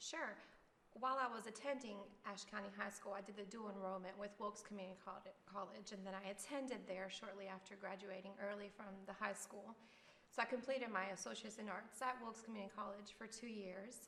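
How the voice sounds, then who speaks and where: A woman speaks fairly quickly at a medium pitch with fairly even intonation. Room echo is audible. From Miami, Florida, Cuban-American family. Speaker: elementary school teacher. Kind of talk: interview.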